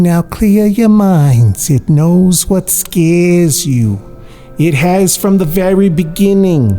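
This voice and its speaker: Over clear background music, a put-on character voice at a middle pitch speaks at a very slow pace. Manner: spooky, ominous.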